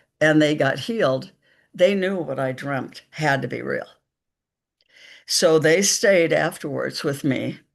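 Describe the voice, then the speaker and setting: In an American accent, a woman with a very deep, low pitch and vocal fry talks at a fairly slow pace with long, frequent pauses and ordinary pitch variation, over a quiet background. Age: 70s. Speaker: psychic medium. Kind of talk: interview storytelling. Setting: live stream.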